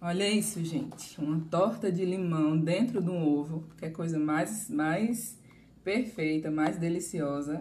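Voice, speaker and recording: Somewhat breathy and fairly low for a woman, her dark, mellow voice moves at a fairly slow pace with ordinary pitch variation. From Bahia, Brazil. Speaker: pastry chef giving a live class. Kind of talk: live cooking class streamed online. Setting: live stream.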